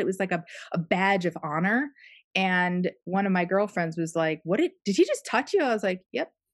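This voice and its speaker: A woman with an unremarkable speaking voice, medium pitch, and ordinary pitch variation, set against a quiet background. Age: 40s. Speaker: podcast host. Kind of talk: casual chat.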